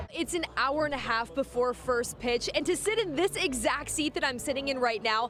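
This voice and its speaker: Lively intonation in an American accent at a fairly quick pace, over noticeable background noise. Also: woman. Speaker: TV news reporter and anchor. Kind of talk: broadcast news reporting. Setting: outdoors, on location at news scenes.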